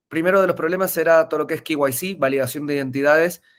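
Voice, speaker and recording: A man speaks at a fairly quick pace. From Argentina, Mendoza. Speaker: tech entrepreneur, webinar speaker. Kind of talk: webinar presentation. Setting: online webinar. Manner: hesitant, frequent filler eh.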